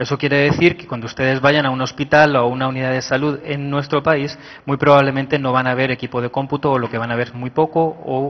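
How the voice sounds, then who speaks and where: A man with a Spanish accent, very fast pace and fairly even intonation. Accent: Spanish (Spain) accent noticeable. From Spain. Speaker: IT manager at a health ministry, conference speaker. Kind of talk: conference talk.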